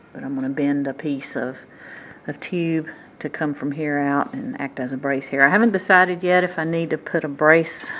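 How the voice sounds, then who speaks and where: The speaker uses ordinary pitch variation in a Southern US accent. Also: woman, very deep, low pitch for a woman, moderate pace. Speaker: motorcycle hobbyist and DIY fabricator. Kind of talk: casual tutorial. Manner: halting.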